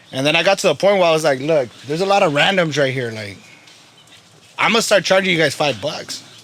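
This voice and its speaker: Talking at a very fast pace, a man with an American accent uses a fairly high pitch and lively intonation over noticeable background noise. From Salinas, California. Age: 20s. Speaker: barber. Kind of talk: casual interview chat.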